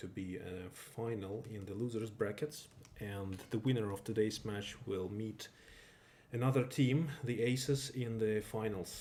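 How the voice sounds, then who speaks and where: Somewhat breathy, a man with a non-native accent speaks at a fairly slow pace with a fairly low pitch and a dark, mellow tone. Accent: non-native English accent, self-described. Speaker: esports game caster. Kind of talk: live commentary. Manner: halting, with self-corrections.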